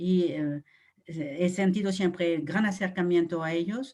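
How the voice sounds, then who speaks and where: Speaking at a very slow pace, a woman uses a fairly low pitch. Her pitch variation is ordinary. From France. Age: 70s. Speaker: nun and educator. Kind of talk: interview testimony. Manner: hesitant, many fillers.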